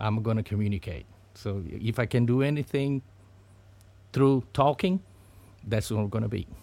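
A man with a Portuguese accent speaks at a moderate pace and medium pitch with ordinary pitch variation and long, frequent pauses, in a very clean recording with a silent background. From Brazil, Sao Paulo. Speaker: business owner. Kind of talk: interview conversation. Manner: halting, with fillers.

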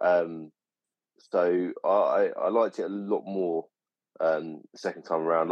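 A man speaks at a fairly slow pace. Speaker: podcast co-host. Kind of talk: casual chat.

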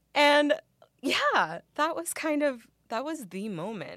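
A woman's very slow speech with very wide pitch swings, in a very clean recording over a silent background. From Mexican-American background. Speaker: actress. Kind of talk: interview. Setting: studio.

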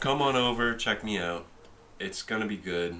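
Through noticeable background noise and audible room echo comes a man with a very deep, low pitch. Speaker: podcast host. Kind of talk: casual chat. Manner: animated.

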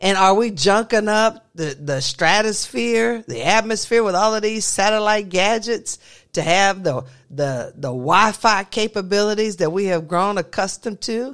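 The pace is moderate, and the recording is very clean with a silent background. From US South. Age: 50s. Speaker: podcast host, college lecturer. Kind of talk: casual chat. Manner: halting, many fillers.

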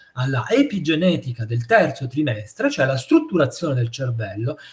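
Pitch swings very widely as this man talks. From Naples, southern Italy. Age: 50s. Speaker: psychiatrist. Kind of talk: interview.

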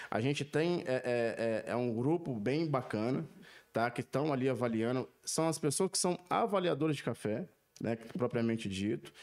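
With a normal speaking voice at medium pitch, a man talks at a moderate pace, his intonation lively and his loudness very even. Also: very clean recording, silent background. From Brazil, Minas Gerais (Zona da Mata). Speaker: coffee quality specialist. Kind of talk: casual chat. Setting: studio.

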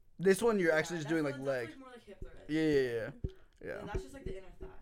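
This is a man speaking. His intonation is lively. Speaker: podcast co-host, college student. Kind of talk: casual chat.

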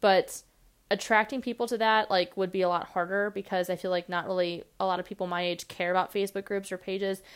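Over a silent background in a very clean recording, a woman rattles off words at a very fast pace in a medium pitch with flat, monotone intonation. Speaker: podcast host. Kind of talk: casual solo monologue. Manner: fast talker; filler-heavy, casual.

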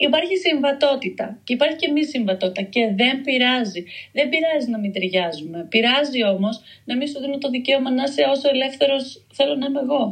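A woman's high-pitched voice, fairly quick in pace, with lively intonation. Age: 30s. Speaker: writer. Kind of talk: casual interview chat.

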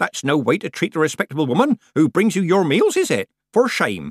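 In a put-on character voice, a man with a fairly high pitch and a slightly husky edge talks at a fairly quick clip with very wide pitch swings, recorded very cleanly, dry and close with no echo against a silent background.

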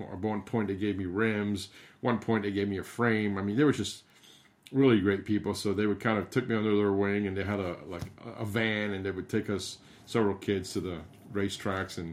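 A man's fairly low voice at a fairly quick pace. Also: fairly even intonation. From Cuba, raised in Miami from age eight. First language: Spanish. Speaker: gravel race director. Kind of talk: casual interview. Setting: remote call.

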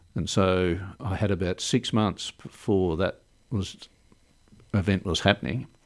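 A man's very deep, low voice in an Australian accent, at a fairly slow pace with ordinary pitch variation. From Melbourne, Australia. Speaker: cancer survivor. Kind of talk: casual interview.

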